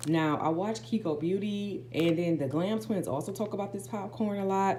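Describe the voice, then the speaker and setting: A woman is speaking with audible room echo. Noticeable background noise is present. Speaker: lifestyle vlogger. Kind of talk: haul vlog. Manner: fast; casual, filler-heavy.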